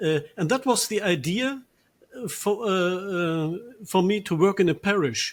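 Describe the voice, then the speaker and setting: Speaking fairly slowly with a German accent, a man uses a high pitch with ordinary pitch variation. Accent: German accent in Dutch. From Germany, Ruhr Valley. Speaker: priest. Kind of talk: interview. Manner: halting, many fillers.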